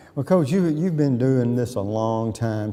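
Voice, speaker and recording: A man's medium-pitched voice with an Alabama accent, a fairly quick pace and noticeable background noise. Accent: Southern US (Alabama). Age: 70s. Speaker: sports show host. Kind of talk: casual interview.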